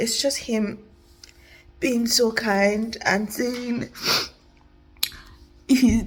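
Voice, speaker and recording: A woman's fairly high-pitched voice over music in the background. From Nigeria. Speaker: vlogger. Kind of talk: personal vlog.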